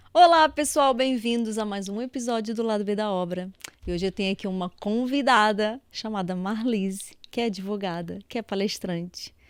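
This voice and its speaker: The voice sounds animated, moving at a moderate pace with ordinary pitch variation. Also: woman, fairly high pitch for a woman. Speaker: podcast host, engineer. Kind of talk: interview podcast.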